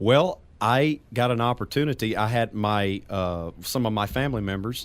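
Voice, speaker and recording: A man talks with a Southern accent. The recording is very clean, and the background is silent. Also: medium pitch for a man, ordinary pitch variation, moderate pace. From Louisiana, near New Orleans. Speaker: singer and stage performer. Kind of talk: radio interview.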